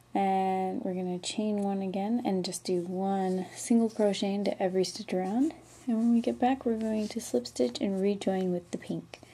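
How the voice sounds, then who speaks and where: Quiet and mumbling, the speech moves at a moderate pace with hardly any pauses. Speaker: crochet tutorial maker. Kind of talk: casual tutorial talk. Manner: quiet, mumbling.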